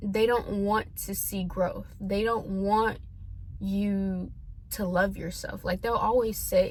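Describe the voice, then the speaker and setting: Someone with an American accent speaks at a very slow pace with long, frequent pauses, and the room echo is audible. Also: woman. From US South (Tennessee), earlier California. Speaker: vlogger. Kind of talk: personal vent vlog. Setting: talking to camera. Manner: hesitant, filler-heavy.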